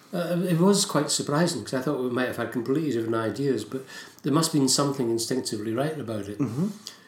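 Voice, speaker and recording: With lively intonation and a medium pitch, a man talks at a very fast pace amid audible room echo and noticeable background noise. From Scotland. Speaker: writer and poet. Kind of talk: casual interview chat.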